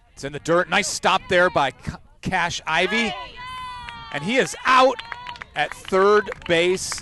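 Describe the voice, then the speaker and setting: With an American accent, a man speaks at a very slow pace, his pitch swinging very widely over noticeable background noise. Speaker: baseball play-by-play announcer. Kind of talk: live commentary. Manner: loud.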